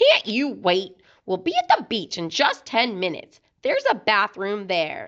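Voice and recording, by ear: A woman performs a put-on character voice at a fairly slow pace. Her pitch swings very widely. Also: medium pitch for a woman, fairly bright tone.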